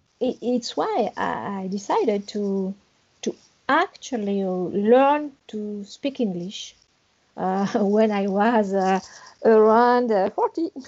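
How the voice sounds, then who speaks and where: A very slow delivery in a French accent. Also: woman, fairly high pitch for a woman, ordinary pitch variation. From France, Paris area. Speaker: English learner. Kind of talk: interview. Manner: halting.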